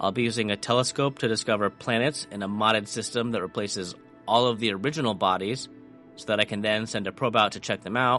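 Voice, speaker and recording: A man with a fairly low voice speaks over music in the background. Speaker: gaming video creator. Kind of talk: casual gameplay commentary.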